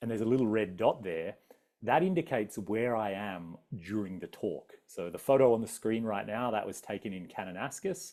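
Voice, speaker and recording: Lively intonation marks a man with an Australian accent whose fairly low, dark, mellow voice moves at a fairly quick pace. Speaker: adventurer and travel speaker. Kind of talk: public talk with slides. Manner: casual, many fillers.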